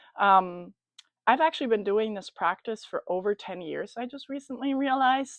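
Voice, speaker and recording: A German accent comes through clearly. The delivery holds a moderate speed. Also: woman. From Germany. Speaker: spiritual coach. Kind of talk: casual talk to camera about a ritual. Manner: hesitant, many fillers.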